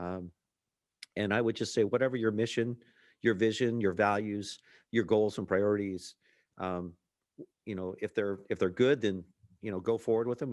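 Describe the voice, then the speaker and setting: Against a quiet background, a man speaks at a fairly quick pace. His pitch is fairly low and his intonation fairly even. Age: 60s. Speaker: emergency management chief. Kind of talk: interview. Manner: halting.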